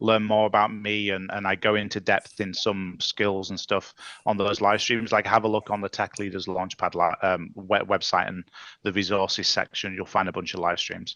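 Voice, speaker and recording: Speaking with an English accent at a moderate pace, a man uses a fairly low pitch and fairly even intonation. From England. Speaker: tech leadership coach. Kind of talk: casual chat.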